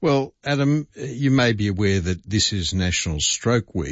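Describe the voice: Text read aloud, plainly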